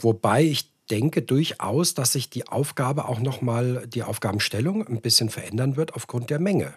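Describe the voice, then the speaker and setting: A man talks at a moderate pace and medium pitch with hardly any pauses. His voice is somewhat breathy, his intonation lively. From Hesse, Frankfurt area, Germany. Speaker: podcast host. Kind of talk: casual interview.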